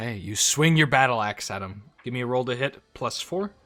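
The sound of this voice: Pitch varies in an ordinary way throughout an unforced reading voice.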